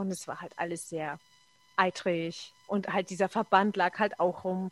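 A woman's plain, everyday voice at medium pitch, fairly slow pace and ordinary pitch variation, with a dry, close sound and no echo. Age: 40s. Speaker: bus driver and blogger. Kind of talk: casual chat.

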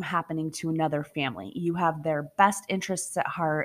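Recorded very cleanly over a silent background, a woman uses a plain, everyday voice with fairly even intonation. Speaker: podcast host and storyteller. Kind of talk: campfire-style true-crime storytelling, ghost story narration. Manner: hushed, slow and suspenseful, directly addressing listeners.

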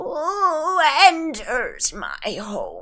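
This is a put-on character voice at an extremely high pitch. Its pitch swings very widely. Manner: eerie, creepy.

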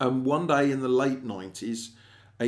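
Here is a man with an English accent. His pitch sits in the medium range. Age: 40s. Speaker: podcast host and screenwriter. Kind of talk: solo monologue podcast. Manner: casual, chatty.

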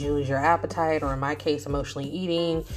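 Mumbling at a very fast pace, a woman speaks with a very deep, low pitch and fairly even intonation while music plays in the background. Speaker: podcast host and writer. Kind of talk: casual monologue.

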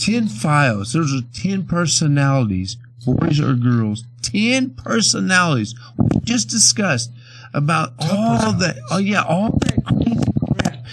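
A man with an American accent talks at a fairly slow pace, his medium pitch swinging very widely. Noticeable background noise is present. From Bakersfield, California. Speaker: blues musician. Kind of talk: casual interview.

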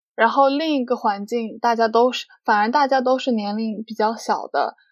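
In a normal speaking voice, a woman with a fairly high pitch speaks at a fairly slow pace with ordinary pitch variation on a very clean recording with a silent background. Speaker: international student. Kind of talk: casual chat.

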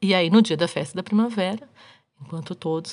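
A woman with an animated tone, talking at a fairly quick pace. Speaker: podcast host. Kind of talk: casual storytelling monologue.

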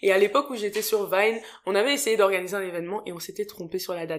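Speaking at a fairly quick pace, a woman of medium pitch sounds animated. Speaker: podcast host. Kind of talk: casual chat. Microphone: new better microphone.

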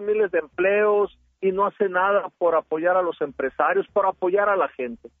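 A man speaks with ordinary pitch variation. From Sinaloa, Mexico. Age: 50s. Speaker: politician. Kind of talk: radio interview.

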